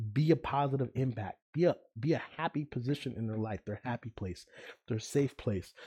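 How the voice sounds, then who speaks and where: In a quiet background, a man talks with a dark, mellow tone at a medium pitch and ordinary pitch variation, the sound dry and close with no echo. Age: 20s. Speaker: podcast host. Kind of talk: casual monologue.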